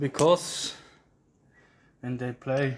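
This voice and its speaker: With a Swiss German accent, a man speaks at a very slow pace in fairly even intonation. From Switzerland. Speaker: church caretaker giving a tour. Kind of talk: casual video tour narration. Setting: inside a church tower. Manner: halting.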